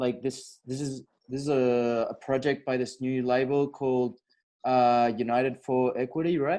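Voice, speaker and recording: Man with a medium pitch, dark, mellow tone and monotone, flat intonation at a moderate pace. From Europe. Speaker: podcast host. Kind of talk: interview. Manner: casual.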